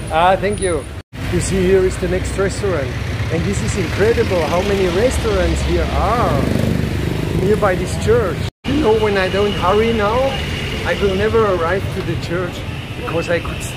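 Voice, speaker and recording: A man speaks at a moderate pace with long, frequent pauses. Loud background noise fills the recording. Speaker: travel vlogger. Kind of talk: casual vlog chat. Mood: cheerful, enthusiastic. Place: street. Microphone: phone near.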